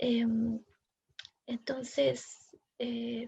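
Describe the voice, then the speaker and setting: A woman's high-pitched voice. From southern Chile, Mapuche community. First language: Mapudungun (speaking Spanish). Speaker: poet and academic. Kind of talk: seminar talk. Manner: hesitant, with fillers and repetitions.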